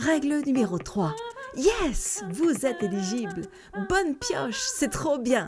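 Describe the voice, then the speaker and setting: A woman at high pitch and a very slow pace, upbeat tone, very wide pitch swings and noticeable background noise. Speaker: voice-over artist. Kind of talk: satirical radio-style column. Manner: upbeat, ironic.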